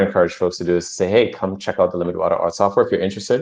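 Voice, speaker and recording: A man with a very deep, low pitch against a quiet background. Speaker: crypto project presenter. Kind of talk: livestream show update. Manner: fast; animated.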